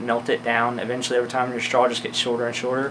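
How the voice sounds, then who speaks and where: Over noticeable background noise, a man talks at a medium pitch. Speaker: outdoor gear reviewer. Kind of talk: gear review tutorial. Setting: indoors. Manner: fast; casual with many fillers.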